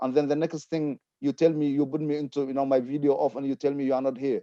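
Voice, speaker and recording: A man with a non-native accent speaks at a fairly high pitch, his tone dark and mellow, in a dry, close recording with no echo. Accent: foreign. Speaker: community panelist. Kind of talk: panel discussion. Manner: impassioned.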